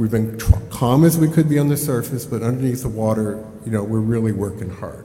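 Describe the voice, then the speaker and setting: A man speaks at a fairly quick pace with a medium pitch, a dark, mellow tone and ordinary pitch variation, with audible room echo around him. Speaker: organization chief executive. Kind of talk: business report presentation. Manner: loud; fast.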